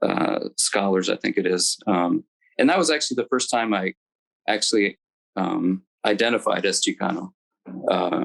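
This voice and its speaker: Speaking at a moderate pace with long, frequent pauses, a man with an American accent is heard in a dry, close sound with no echo. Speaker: alumnus panelist, engineer. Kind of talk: panel reminiscence. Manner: hesitant, many fillers.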